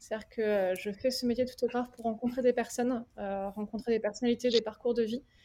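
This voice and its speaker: With a dark, mellow tone and a fairly high pitch, a woman speaks in a monotone, flat intonation at a fairly quick pace. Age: 30s. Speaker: wedding photographer. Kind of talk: casual roundtable chat. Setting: remote video call.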